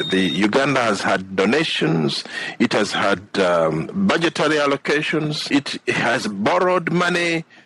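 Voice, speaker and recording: A man at a fairly slow pace with very wide pitch swings over noticeable background noise. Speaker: political candidate and radio show co-host. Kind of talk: political radio talk.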